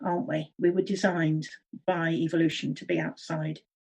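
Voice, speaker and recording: Vocal fry runs through this woman's fairly low-pitched voice as she speaks at a moderate pace. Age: 60s. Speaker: early childhood education consultant. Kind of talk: interview.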